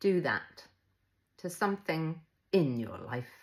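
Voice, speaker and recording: A woman speaks in a fairly low voice with lively intonation. The recording is very clean, with a silent background. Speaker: mental health coach. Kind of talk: live-stream motivational talk.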